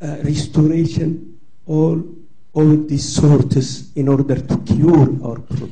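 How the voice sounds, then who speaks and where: With a non-native accent, a man speaks very slowly at a fairly high pitch with fairly even intonation and audible room echo. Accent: foreign. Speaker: audience member at symposium. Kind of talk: audience comment in open discussion.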